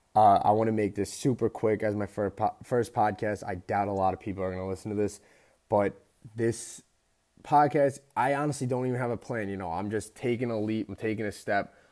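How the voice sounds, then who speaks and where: A man with a normal speaking voice and an American accent talks at fairly low pitch and a fairly quick pace with fairly even intonation, on a very clean recording with a silent background. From US Northeast, Long Island. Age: 20s. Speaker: podcast host and personal trainer. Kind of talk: casual monologue. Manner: casual, filler-heavy.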